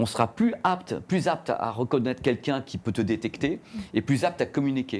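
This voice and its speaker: The voice sounds animated, with lively intonation. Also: man. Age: middle-aged. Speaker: journalist and YouTuber. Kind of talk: interview. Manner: fast.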